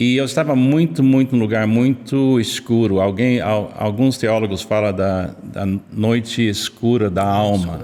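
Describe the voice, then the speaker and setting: With an American accent, a man speaks at a fairly slow pace with hardly any pauses, very even loudness and ordinary pitch variation, over noticeable background noise. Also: medium pitch for a man. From United States. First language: English (speaking Portuguese). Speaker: pastor, missionary. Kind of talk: interview podcast. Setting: church building.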